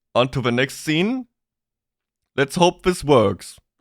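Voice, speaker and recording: A man speaks with a German accent and lively intonation. The sound is dry and close with no echo, on a very clean recording with a silent background. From Germany. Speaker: VTuber streamer. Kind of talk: live stream chat. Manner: halting, repeats words.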